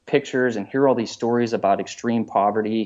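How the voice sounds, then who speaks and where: This man has an ordinary speaking voice at a medium pitch. He talks at a fairly quick pace with an American accent. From Pittsburgh, US. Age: 30s. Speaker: professional triathlete and coach. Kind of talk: interview.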